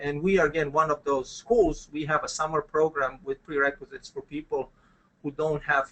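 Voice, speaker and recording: A man speaks at a fairly quick pace in a Croatian accent. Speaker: business school dean. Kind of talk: webinar presentation. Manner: hesitant, many fillers.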